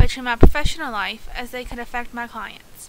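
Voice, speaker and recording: A woman's high-pitched voice with an American accent, at a fairly quick pace and with ordinary pitch variation. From US South, West Virginia. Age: 20s. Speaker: counseling student. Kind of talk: class presentation, scripted. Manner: reading aloud, steady.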